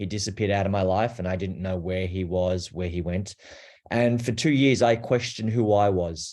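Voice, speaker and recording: A man with a fairly low pitch, moderate pace and ordinary pitch variation, in an Australian accent. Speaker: abuse survivor and advocate. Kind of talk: personal testimony.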